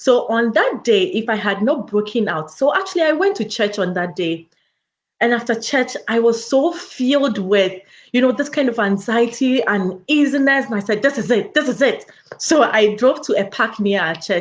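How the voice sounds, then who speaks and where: Against a quiet background, a woman speaks at a moderate pace with a fairly high pitch, an animated tone and lively intonation. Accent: African. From Africa. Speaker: educator and public health researcher, wellness coach. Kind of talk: motivational talk.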